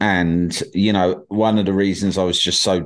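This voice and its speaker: A man with an English accent, fairly low pitch and ordinary pitch variation, against a quiet background. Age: 40s. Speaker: podcast host. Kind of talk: casual chat.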